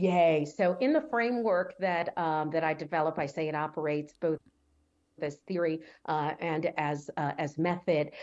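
A woman talks at a moderate pace with ordinary pitch variation. Her voice is very deep and low, set against a quiet background. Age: 50s. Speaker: author and academic. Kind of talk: interview. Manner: warm, affirming.

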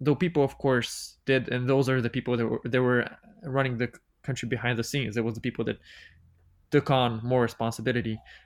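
In a very clean recording with a silent background, a man with a Bulgarian accent speaks fairly quickly at a medium pitch with fairly even intonation. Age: 20s. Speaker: podcast guest. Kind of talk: casual chat.

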